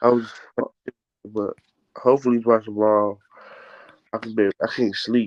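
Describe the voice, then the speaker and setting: At a moderate pace, a man with a medium-pitched voice talks in a monotone, flat intonation, leaving long, frequent pauses and showing big swings in loudness. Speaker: sports fan streamer. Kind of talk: casual chat.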